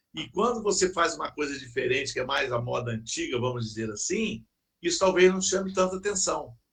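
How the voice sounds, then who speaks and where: What's heard is a normal speaking voice. Its pitch moves in a lively way. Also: man. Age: 60s. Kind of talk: casual chat.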